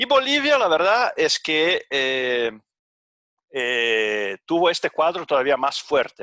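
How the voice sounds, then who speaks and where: Dry and close with no echo, a man's bright, sharp voice sits at medium pitch with a Portuguese accent. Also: very clean recording, silent background. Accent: Portuguese-accented Spanish (portuñol). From Brazil. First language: Portuguese (speaking Spanish). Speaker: economist / panel presenter. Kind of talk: conference presentation. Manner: halting, many fillers.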